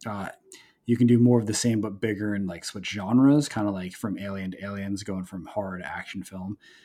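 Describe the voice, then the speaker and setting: Against music in the background, a man with an American accent speaks fairly quickly at a fairly low pitch, with big swings in loudness. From New Jersey. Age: 30s. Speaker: comic book writer. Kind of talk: interview. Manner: halting, many fillers and repeats.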